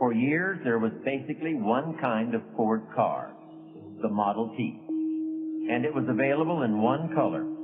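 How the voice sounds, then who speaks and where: Over music in the background, someone with an American accent talks at a fairly slow pace, keeping a very even loudness and hardly any pauses. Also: man. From United States. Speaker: motivational speaker. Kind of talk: motivational speech narration.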